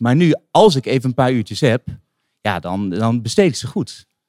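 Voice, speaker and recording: In a very clean recording with a silent background, a man speaks with very wide pitch swings. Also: dry, close sound with no echo. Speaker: singer-songwriter. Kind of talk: casual interview. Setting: live recording in a wine bar. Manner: soft-spoken.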